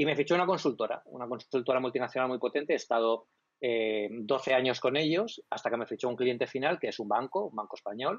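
A man talks very fast at a medium pitch, with hardly any pauses. His pitch varies in an ordinary way against a quiet background. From Spain, Alicante province. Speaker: tech blog director. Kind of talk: casual interview chat. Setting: live stream. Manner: fluent, communicator.

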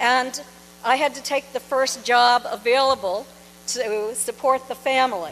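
Against noticeable background noise, a woman with an American accent speaks at a moderate pace and a high pitch with ordinary variation. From New Hampshire, US. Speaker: author and UFO researcher. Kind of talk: lecture. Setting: stage with audience.

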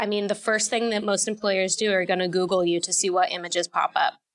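A woman with an ordinary speaking voice talks at a medium pitch. Her intonation is fairly even. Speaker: sports reporter and podcaster. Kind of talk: casual interview chat.

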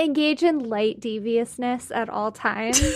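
A woman's high pitch with fairly even intonation and an American accent. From US South, Georgia. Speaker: podcast producer. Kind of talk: casual chat.

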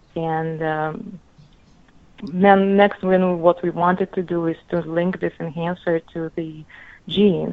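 In a Russian accent, a woman speaks very slowly in a monotone, flat intonation at a fairly low pitch. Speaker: medical resident, researcher. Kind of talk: interview.

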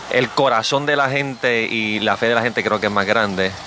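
Moderately paced male speech, medium in pitch and fairly even in intonation, against noticeable background noise. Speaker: pastor. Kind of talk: radio interview.

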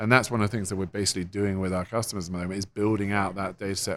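In a very clean recording with a silent background, a man with an English accent and a very deep, low pitch talks at a very fast pace with fairly even intonation. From England. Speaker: software company co-founder. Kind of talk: interview. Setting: conference.

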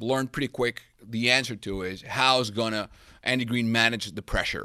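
A man with a bright, sharp tone and medium pitch speaks at a moderate pace on a very clean recording with a silent background. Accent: Spanish. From Venezuela. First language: Spanish. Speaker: sports journalist. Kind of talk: casual chat.

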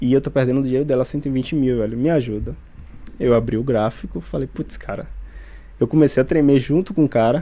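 With a normal speaking voice, a man talks at a fairly quick pace, his medium pitch varying in an ordinary way. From Bahia, Brazil (Feira de Santana). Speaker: police officer and day trader. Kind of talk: interview testimony.

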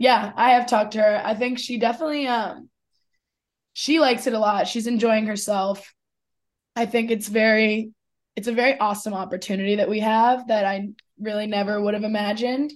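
This woman speaks at a fairly quick pace with fairly even intonation and a fairly high pitch. It's an unremarkable speaking voice. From Philadelphia, US. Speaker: college lacrosse player. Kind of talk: sports interview.

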